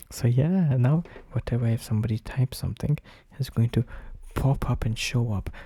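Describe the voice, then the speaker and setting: A man whispers, somewhat breathy, at a fairly quick pace. Long, frequent pauses break up his speech. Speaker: streamer. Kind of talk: casual chat. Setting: live stream. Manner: whispering; halting, repetitive. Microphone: new microphone.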